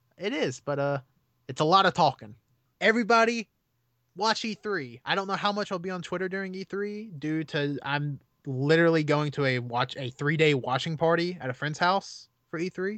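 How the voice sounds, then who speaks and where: Over a quiet background, a man with a high pitch talks at a moderate pace with lively intonation, the sound dry and close with no echo. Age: 20s. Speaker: video game podcast guest. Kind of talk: casual chat.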